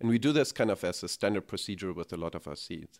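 Speaking in a German accent, a man uses lively intonation. The sound is dry and close with no echo. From Germany. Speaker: technology executive. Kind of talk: interview.

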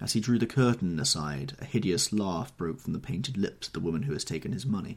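With lively intonation, the passage is reading aloud in a natural voice.

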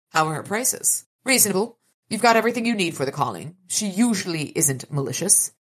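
The intonation is lively in this plain reading aloud. Little sound comes from the background.

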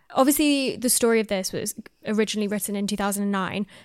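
On a very clean recording with a silent background, a woman with an ordinary speaking voice talks at a fairly quick pace in a fairly high pitch with ordinary pitch variation. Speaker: podcast host. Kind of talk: casual chat.

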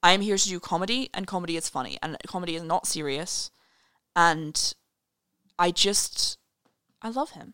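A woman's fairly low-pitched voice with a bright, sharp tone, a moderate pace, ordinary pitch variation, big swings in loudness and long, frequent pauses. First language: not English. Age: 20s. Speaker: student and writer. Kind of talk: casual chat.

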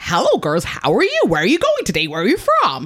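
A put-on character voice with a non-native accent, delivered at a fairly quick pace. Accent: put-on foreign. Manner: flirty, leering.

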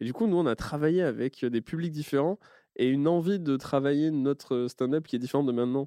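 Recorded dry and close with no echo against a quiet background, a man with a fairly high pitch and a dark, mellow tone speaks at a fairly quick pace with ordinary pitch variation. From French countryside. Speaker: comedian and podcast host. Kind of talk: casual chat.

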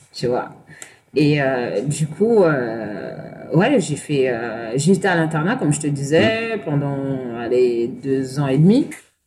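A woman speaks at a very slow pace with a very deep, low pitch and lively intonation. Audible room echo and noticeable background noise surround her voice. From Paris banlieue, Seine-Saint-Denis. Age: 30s. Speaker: interview guest sharing life story. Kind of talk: personal testimony. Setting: bar.

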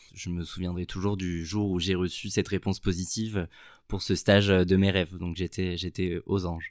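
In a very clean recording with a silent background, a man with a very deep, low pitch talks at a moderate pace in a monotone, flat intonation. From southern France. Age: 20s. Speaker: product manager. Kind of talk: interview.

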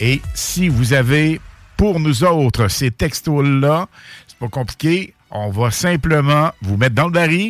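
With a Quebec accent, a man speaks very slowly at a fairly high pitch, his intonation lively. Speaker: radio host. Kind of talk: live radio show. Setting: radio studio. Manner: animated.

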